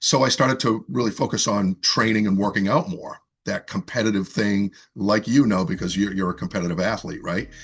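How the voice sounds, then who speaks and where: Music plays behind a man with a slight Boston accent. His fairly low voice moves at a fairly quick pace with lively intonation. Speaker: fitness coach and author. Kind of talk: interview conversation. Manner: casual, with frequent fillers and repetitions.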